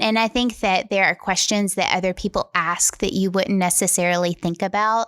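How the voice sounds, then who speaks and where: A woman with a plain, everyday voice speaks at a medium pitch and a moderate pace, with fairly even intonation and hardly any pauses, in a dry, close sound with no echo. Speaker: podcast host. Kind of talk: podcast conversation.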